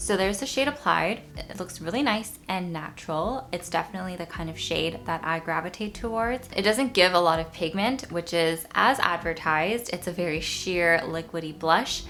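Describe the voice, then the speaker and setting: Woman at a fairly low pitch with lively intonation, a moderate pace and hardly any pauses, over noticeable background noise. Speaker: beauty youtuber. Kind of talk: makeup tutorial and product review. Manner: casual.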